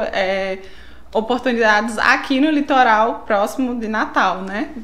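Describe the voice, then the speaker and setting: With a northeastern Brazilian accent, a woman talks at a fairly slow pace with lively intonation, amid noticeable background noise and audible room echo. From São Paulo, Brazil. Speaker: biologist. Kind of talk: casual interview.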